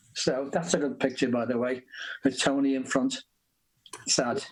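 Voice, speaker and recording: A man talks with a Liverpool accent. His pace is moderate. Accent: Liverpool (Scouse). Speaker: rock musician. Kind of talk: interview.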